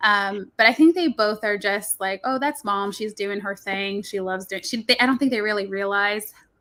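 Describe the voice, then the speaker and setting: A woman with a medium pitch and a bright, sharp tone at a moderate pace, in a very clean recording with a silent background. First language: Spanish. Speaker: children's book author and nurse. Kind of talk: live talk show interview.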